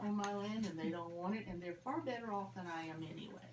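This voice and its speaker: At a fairly quick pace, a woman speaks amid noticeable background noise and audible room echo. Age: 70s. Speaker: farmer. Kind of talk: casual chat. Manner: halting.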